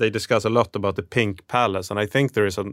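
Recorded very cleanly against a silent background, with a dry, close sound and no echo, a man speaks at a fairly low pitch in a monotone, flat intonation. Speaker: podcast co-host. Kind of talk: interview. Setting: studio.

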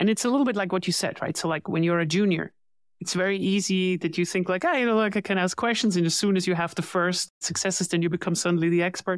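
In a very clean recording with a silent background and a dry, close sound with no echo, a woman with an ordinary speaking voice talks at a fairly quick pace, at a medium pitch, with fairly even intonation. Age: 40s. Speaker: growth advisor for tech companies. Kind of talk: interview.

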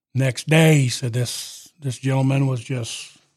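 The man's voice has a somewhat breathy sound. It sits at a medium pitch. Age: 40s. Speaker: truck driver and former police chief. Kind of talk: interview conversation. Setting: studio.

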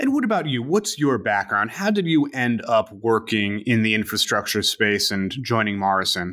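A normal speaking voice from a man, medium in pitch, with ordinary pitch variation at a moderate pace. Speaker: podcast host, news editor. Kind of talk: interview.

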